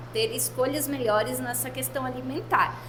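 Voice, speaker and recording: A woman speaks at a moderate pace. Room echo is audible, along with noticeable background noise. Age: 30s. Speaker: daughter of bakery owner, sharing health story. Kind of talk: testimony.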